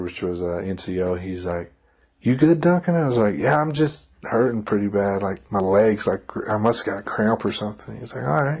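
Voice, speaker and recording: Lively intonation from a man with a Kentucky accent, his pitch fairly low. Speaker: army soldier. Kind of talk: casual chat.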